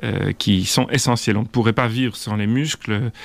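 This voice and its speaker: A man with an unremarkable speaking voice talks at a moderate pace, with a medium pitch and ordinary pitch variation. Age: 50s. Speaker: orthopedic surgeon. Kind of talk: interview.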